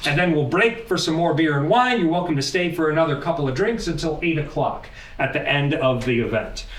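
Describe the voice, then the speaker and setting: A fairly high-pitched man at a fairly quick pace with lively intonation, very even loudness, hardly any pauses, audible room echo and noticeable background noise. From US Pacific Northwest, Portland, Oregon. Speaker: AI educator and meetup host. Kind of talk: event hosting, introductory talk to audience. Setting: stage with live audience at meetup. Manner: animated.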